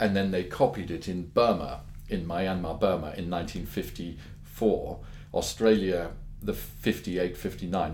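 A somewhat breathy voice moves at a very slow pace with ordinary pitch variation, with audible room echo. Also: man. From London, England. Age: 50s. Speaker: pearl dealer. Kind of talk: interview.

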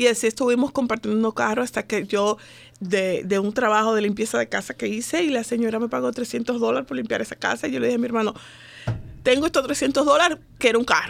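A woman's fairly high-pitched voice with vocal fry, a very fast pace and ordinary pitch variation, in a very clean recording with a silent background. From Dominican Republic. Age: 40s. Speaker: women's organization founder. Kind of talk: radio interview. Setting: studio.

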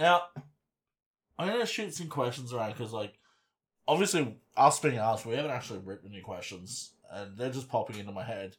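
A somewhat breathy man at medium pitch and moderate pace, with lively intonation, big swings in loudness, and long, frequent pauses. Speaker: podcast host. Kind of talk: casual banter, hobby chat. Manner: joking, bawdy.

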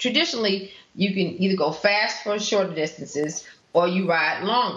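The speaker talks at a moderate pace with ordinary pitch variation over noticeable background noise. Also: woman. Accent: American. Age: 50s. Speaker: cyclist. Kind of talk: casual chat. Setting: studio.

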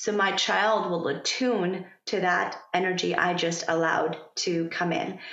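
A woman speaks at a medium pitch with a Persian accent and a fairly slow pace. Her intonation stays fairly even over noticeable background noise. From Iran. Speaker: pharmacist turned yoga instructor and parent coach. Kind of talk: casual interview conversation. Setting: California.

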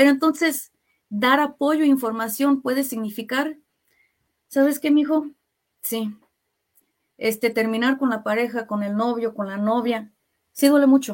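The speech has long, frequent pauses and ordinary pitch variation. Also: woman, high pitch for a woman, fairly slow pace. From US Midwest (Kansas City), Mexican family. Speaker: health plan worker, mental health trainer. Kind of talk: radio interview. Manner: frequent filler words.

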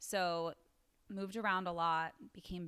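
With an American accent, a woman talks at a fairly slow pace and fairly low pitch, with fairly even intonation, in an unremarkable speaking voice. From US East Coast. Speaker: wellness entrepreneur and yoga teacher. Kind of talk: interview conversation.

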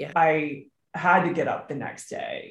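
Somewhat breathy, a woman with an American accent talks at a very slow pace in a very deep, low pitch with fairly even intonation. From Maryland, US. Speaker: author, widow. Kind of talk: casual interview conversation.

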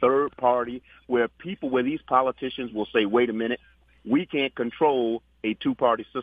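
This man has an unremarkable speaking voice, medium in pitch with ordinary pitch variation, and talks at a moderate pace. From New York. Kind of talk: phone-in commentary.

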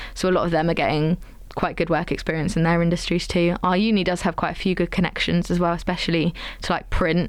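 A woman speaks at a very fast pace. Her fairly low pitch stays in a monotone, flat intonation. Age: 20s. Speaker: journalism student. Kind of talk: interview.

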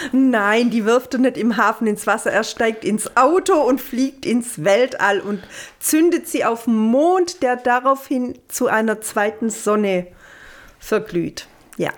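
With very even loudness and lively intonation, a woman talks very slowly at a fairly high pitch. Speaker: film podcast co-host. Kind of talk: casual chat.

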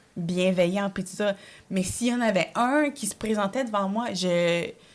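A plain, everyday voice moves at a fairly slow pace. The recording is very clean, with a silent background. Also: woman. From Quebec, Montreal (arrived from El Salvador at age 5). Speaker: comedian. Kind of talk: casual chat.

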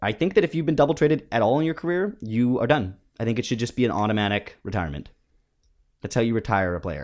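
Very fast speech with very wide pitch swings comes through on a very clean recording with a silent background. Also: man, medium pitch for a man. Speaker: podcast host. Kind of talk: casual comedic banter; comedy ad parody. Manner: mock-salesman patter, bouncy and exaggerated.

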